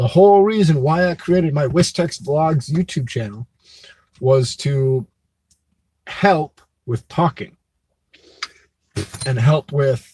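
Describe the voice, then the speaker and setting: A man with a fairly high pitch speaks in a dark, mellow, somewhat breathy tone with ordinary pitch variation. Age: adult. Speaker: vlogger. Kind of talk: live stream chat. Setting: live stream. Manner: vocal tics, halting at pauses.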